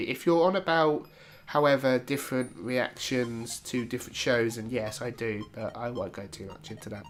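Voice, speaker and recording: There is music in the background. A man with a British accent and medium pitch speaks at a moderate pace with ordinary pitch variation. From Britain. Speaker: YouTube reactor. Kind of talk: casual Q&A talk to camera.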